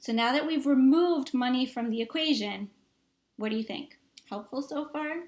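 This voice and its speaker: A woman's high-pitched, animated voice with a Boston accent and ordinary pitch variation. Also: moderate pace. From Massachusetts, US. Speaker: tech strategist, engineer. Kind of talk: online summit presentation, sales pitch.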